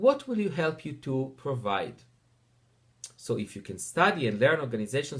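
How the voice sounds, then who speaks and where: A man's somewhat breathy voice, fairly high in pitch, with lively intonation. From Israel. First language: Hebrew. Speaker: teacher. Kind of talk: personal introduction narration.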